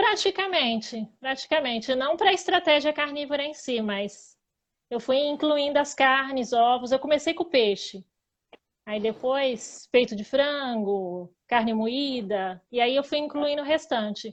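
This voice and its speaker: Lively intonation from a woman with a high voice, at a fairly slow pace. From Greater São Paulo, Brazil. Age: 30s. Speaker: diet interviewee. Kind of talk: casual chat.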